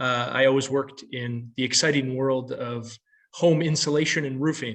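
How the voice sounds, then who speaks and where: At a moderate pace, a man with an American accent speaks at medium pitch with fairly even intonation in an unremarkable speaking voice. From United States. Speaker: occupational psychology researcher and consultant. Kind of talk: panel talk about career path.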